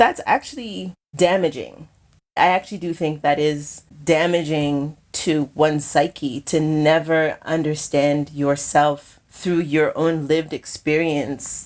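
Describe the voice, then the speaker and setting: With a very deep, low pitch and an American accent, a woman speaks at a very slow pace in a very clean recording with a silent background. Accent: sounds American in some settings. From Kenya. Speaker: filmmaker. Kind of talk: interview conversation.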